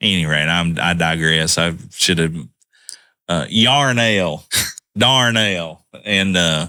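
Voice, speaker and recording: A man with a Southern US accent speaks at a very slow pace in a very deep, low voice with a bright, sharp tone, in a very clean recording with a silent background. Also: very even loudness. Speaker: podcast co-host. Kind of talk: casual chat.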